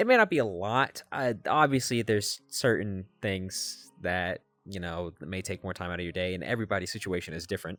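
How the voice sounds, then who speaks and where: A man's fairly low voice with big swings in loudness, hardly any pauses, and music in the background. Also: ordinary pitch variation. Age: 20s. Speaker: college student vlogger. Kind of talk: casual personal vlog monologue. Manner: hesitant, many fillers.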